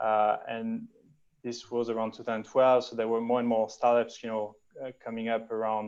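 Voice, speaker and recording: A man's medium-pitched voice with a French accent and monotone, flat intonation. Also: moderate pace. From France. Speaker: venture capital investor. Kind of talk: interview. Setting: video call. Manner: halting with repetitions.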